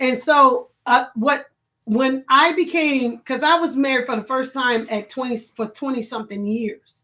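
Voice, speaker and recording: On a very clean recording with a silent background, a woman projects a raised, high-pitched voice with a bright, sharp tone, ordinary pitch variation and a fairly slow pace. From Chicago. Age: 50s. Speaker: online talk show host. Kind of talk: casual live-stream chat.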